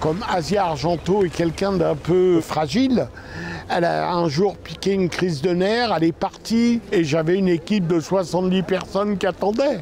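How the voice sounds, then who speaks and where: High-pitched male voice at a fairly slow pace with ordinary pitch variation, over noticeable background noise. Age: 70s. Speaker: film producer and former actor. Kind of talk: interview. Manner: halting, with frequent hesitations.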